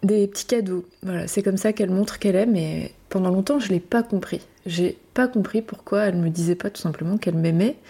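On a very clean recording with a silent background, a woman of medium pitch speaks at a fairly quick pace with hardly any pauses, her somewhat breathy voice dark and mellow in tone, with ordinary pitch variation. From Brittany, France. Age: 30s. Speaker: perinatal support practitioner and podcast host. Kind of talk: solo reflective monologue. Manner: hesitant, with fillers and repetitions.

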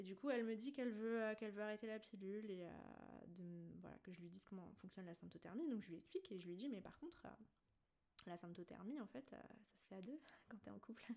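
A woman's dark, mellow tone at a medium pitch, very fast with lively intonation, big swings in loudness, and long, frequent pauses. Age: 20s. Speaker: naturopath. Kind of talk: casual chat.

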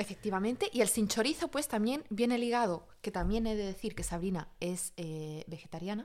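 An ordinary speaking voice belongs to a woman who talks at a moderate pace with a medium pitch. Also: lively intonation, hardly any pauses. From Spain. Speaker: podcast co-host. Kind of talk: casual chat.

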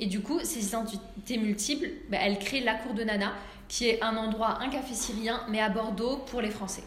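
Fairly high female voice at a moderate pace with fairly even intonation, amid audible room echo and noticeable background noise. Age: 30s. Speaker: restaurant owner. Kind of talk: interview. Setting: at her restaurant.

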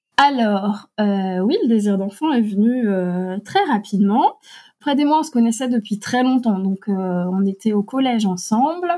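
A woman's fairly high, dark, mellow, somewhat breathy voice with lively intonation at a fairly slow pace, in a very clean recording with a silent background. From Alsace, France. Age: 40s. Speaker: adoptive mother and writer. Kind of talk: personal testimony interview. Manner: hesitant, frequent fillers.

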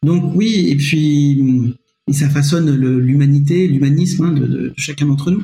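The voice has a dark, mellow tone, somewhat breathy, at a very slow pace with long, frequent pauses. Loudness stays very even, and pitch varies an ordinary amount. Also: man. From France, Nevers. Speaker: history-geography teacher. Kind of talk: podcast interview. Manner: halting, many repetitions.

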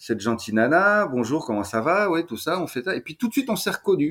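A man's voice with very wide pitch swings, on a very clean recording with a silent background. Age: 40s. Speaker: Qi gong teacher and shiatsu practitioner. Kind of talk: casual interview. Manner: lively, upbeat; frequent stammered repetitions.

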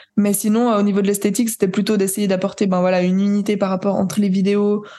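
Her voice has a dark, mellow tone, and this woman speaks at medium pitch with monotone, flat intonation. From Switzerland. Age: 20s. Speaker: jazz pianist and composer. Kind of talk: interview. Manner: hesitant, many fillers.

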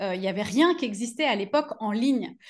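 Here a woman with a fairly high pitch uses lively intonation. She keeps a moderate pace against a quiet background. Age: 40s. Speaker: business coach for yoga teachers. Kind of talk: interview. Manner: many hesitations.

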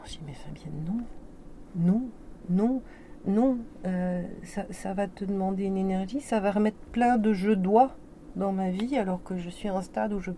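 Speech moves at a fairly slow speed. The pitch varies in an ordinary way. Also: woman. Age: 50s. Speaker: business coach. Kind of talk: testimony. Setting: studio.

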